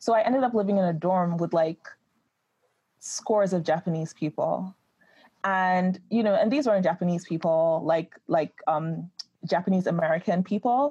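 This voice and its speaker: A woman's somewhat breathy voice has a dark, mellow tone and medium pitch with ordinary pitch variation, at a moderate pace. The sound is dry and close with no echo, and the loudness stays very even. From Nigeria. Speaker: writer and script inventor. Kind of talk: interview.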